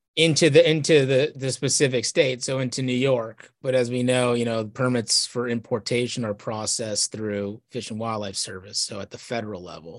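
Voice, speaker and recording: With an unremarkable speaking voice, the speaker moves at a moderate pace with ordinary pitch variation, big swings in loudness and hardly any pauses. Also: man, medium pitch for a man. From Texas. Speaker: hunting advocacy lobbyist. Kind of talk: casual interview.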